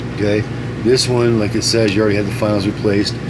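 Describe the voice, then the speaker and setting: The talking comes at a fairly quick clip, with noticeable noise in the background. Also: man. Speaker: radio repair technician. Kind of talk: casual product demonstration talk. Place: workshop. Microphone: phone near.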